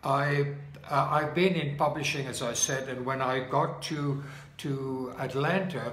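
A man with a South African accent at a fairly slow pace, fairly high pitch, fairly even intonation and a fairly bright tone, in audible room echo

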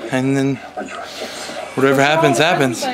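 Noticeable background noise sits behind a man talking at a fairly quick pace in a fairly high pitch. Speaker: vlogger. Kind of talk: casual vlog chat. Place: home room. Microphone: phone near.

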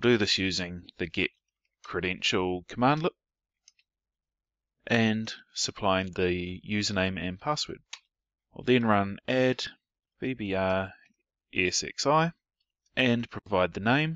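In a New Zealand accent, a man with a fairly low pitch and lively intonation speaks at a very slow pace, leaving long, frequent pauses. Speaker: IT professional. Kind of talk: technical tutorial narration.

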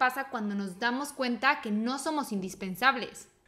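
A woman speaks high in pitch, her pitch varying in an ordinary way. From Mexico. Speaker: podcast co-host. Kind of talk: casual chat.

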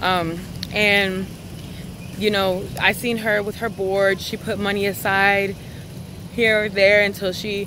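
There is noticeable background noise as a woman speaks in a dry sound with no echo. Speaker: vlogger. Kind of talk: casual vlog chat. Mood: earnest, encouraging. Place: street. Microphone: phone near.

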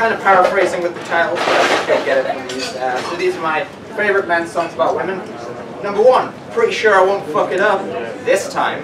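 Loud background noise runs under a man talking at a fairly quick pace. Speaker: stand-up comedian. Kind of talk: stand-up comedy set with self-deprecating jokes and absurd bits. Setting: live comedy venue with laughing audience. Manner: animated, shifting into mock voices and pitch-man patter. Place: bar. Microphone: camera far.

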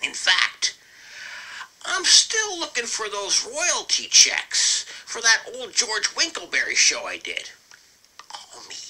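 This put-on character voice sits at an extremely high pitch with very wide pitch swings. It moves at a fairly slow pace, broken by long, frequent pauses. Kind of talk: comic character monologue. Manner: pompous, self-satisfied, goofy.

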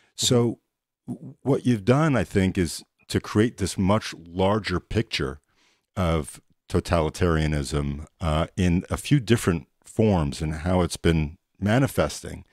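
A man speaks in a very deep, low voice. He talks very slowly. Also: lively intonation, quiet background, dry sound with no echo. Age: 40s. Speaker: podcast co-host. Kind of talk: interview. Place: home room. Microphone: studio mic.

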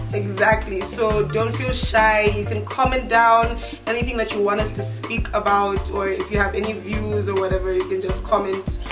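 Moderate pace and hardly any pauses, over clear music in the background. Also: woman. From Zambia. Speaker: show co-host. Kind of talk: casual talk to camera. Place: garden.

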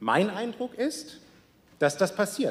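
A fairly slow-paced male voice. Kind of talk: parliamentary speech. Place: hall. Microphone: podium.

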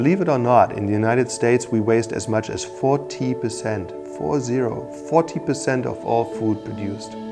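Music comes through clearly behind him. The speaker is a man. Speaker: university professor. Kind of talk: explainer to camera. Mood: earnest, concerned. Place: meeting room. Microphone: lapel.

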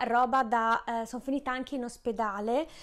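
A woman's high-pitched voice against a quiet background. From Friuli, Italy. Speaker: baking YouTuber and pastry chef; baking channel host. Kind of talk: casual vlog to camera. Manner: hesitant, many fillers. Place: kitchen. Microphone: lapel.

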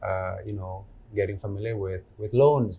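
A man talks at a moderate pace in a somewhat breathy voice with a dark, mellow tone. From Jakarta, Indonesia. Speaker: gynecologist and fertility doctor; guest. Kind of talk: interview conversation. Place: studio.

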